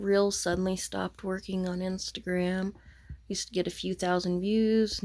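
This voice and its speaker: A woman speaks at a moderate pace with a dark, mellow tone. Her intonation stays monotone and flat. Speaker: crafting vlogger. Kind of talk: casual vlog monologue. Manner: soft-spoken, talking low.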